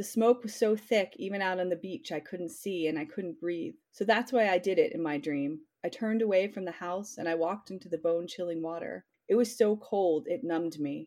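A woman with an ordinary speaking voice talks at a medium pitch in an American accent. Her pace is fairly quick, with lively intonation and hardly any pauses. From Pennsylvania, US. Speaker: novelist. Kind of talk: interview.

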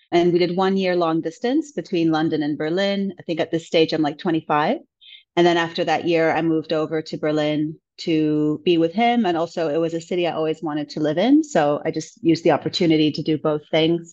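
An ordinary speaking voice at a fairly quick pace, fairly even intonation and hardly any pauses, over a quiet background. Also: woman, fairly low pitch for a woman. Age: 30s. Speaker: podcast guest sharing breakup story. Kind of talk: personal testimony in interview.

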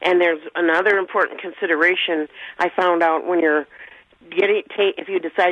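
The woman's pitch sits in the medium range. Her intonation is fairly even. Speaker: caller. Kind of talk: call-in question. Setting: phone call. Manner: halting.

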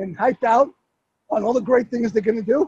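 A man's extremely high-pitched, animated voice in a dry, close sound with no echo. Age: 50s. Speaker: app founder and coach. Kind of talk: casual interview. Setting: walking the streets of New York, live on Facebook.

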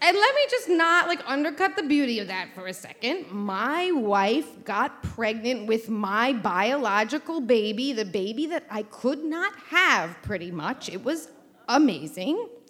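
With music in the background, a woman in a New York accent speaks in an animated tone at a high pitch, her very wide pitch swings coming at a fairly slow pace with hardly any pauses. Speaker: event host and storyteller. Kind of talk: live storytelling. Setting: stage with audience.

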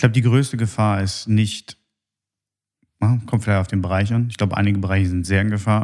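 Fairly low in pitch, the man talks at a moderate pace with fairly even intonation. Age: 30s. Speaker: podcast host. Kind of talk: casual chat.

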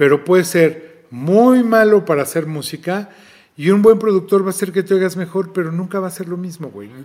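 Speaking at a fairly quick pace, a man with a high pitch and ordinary pitch variation shows big swings in loudness. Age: 50s. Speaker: record label director and festival promoter. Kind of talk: interview.

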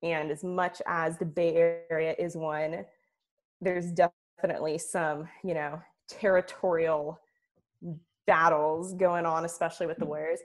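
A woman's fairly low, monotone, flat voice with an American accent, at a fairly slow pace. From Oakland, California. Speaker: sports journalist. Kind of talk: casual chat.

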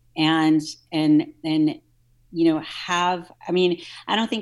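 In a very clean recording with a silent background, a woman with an American accent and a normal speaking voice talks at a fairly slow pace with a fairly low pitch. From US South, New Orleans. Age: 40s. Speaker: nutrition and fitness coach. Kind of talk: casual interview.

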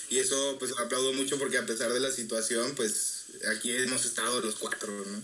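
Speaking fairly quickly with a Mexican accent, the voice keeps a fairly even intonation while audible room echo and noticeable background noise fill the recording. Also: man, medium pitch for a man. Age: 20s. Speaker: music student. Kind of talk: casual chat.

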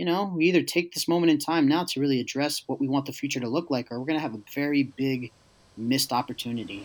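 With an American accent, a man speaks fast at medium pitch. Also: ordinary pitch variation.

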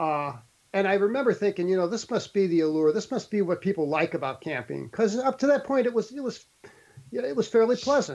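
A high-pitched man's voice with an American accent and lively intonation. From St. Louis, Missouri. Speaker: lawyer and abduction experiencer. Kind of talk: interview testimony.

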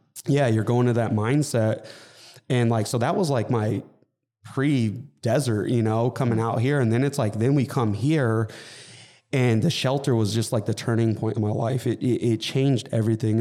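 A man with a Californian accent speaks at a medium pitch and a moderate pace, his tone dark and mellow. His intonation stays fairly even on a very clean recording with a silent background. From Southern California, Inland Empire. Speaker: fitness coach and gym business owner. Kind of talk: casual interview.

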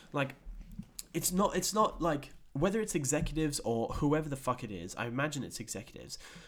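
At a fairly quick pace, a man with an unremarkable speaking voice talks in a fairly high pitch with lively intonation. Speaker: podcast host. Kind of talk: casual chat. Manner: casual, swearing, relaxed.

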